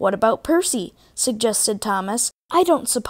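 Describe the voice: Set against a quiet background, this is plain reading aloud with lively intonation.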